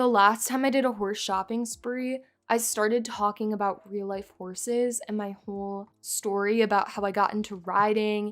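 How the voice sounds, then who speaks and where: With a bored, tired tone, a woman speaks at a moderate pace and a fairly high pitch in monotone, flat intonation with hardly any pauses, over a very clean recording and a silent background. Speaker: gaming YouTuber. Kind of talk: casual gameplay commentary. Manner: sounds tired; bored-sounding.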